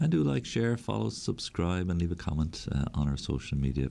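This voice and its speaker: A man's very deep, low voice with an Irish accent, dark and mellow, at a fairly quick pace with very wide pitch swings. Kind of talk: radio catechesis talk. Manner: conversational, with hesitations.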